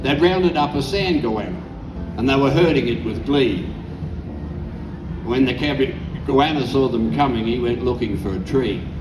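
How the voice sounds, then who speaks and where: Music plays in the background as a man with an Australian accent speaks at a moderate pace and medium pitch. His intonation is lively, with long, frequent pauses. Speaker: bush poet. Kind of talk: poetry reading.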